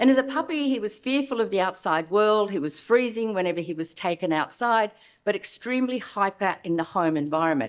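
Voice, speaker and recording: On a very clean recording with a silent background, a woman with an Australian accent talks at a fairly quick pace in a medium pitch, with lively intonation and hardly any pauses. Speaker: veterinary behavioural specialist. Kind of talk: conference lecture.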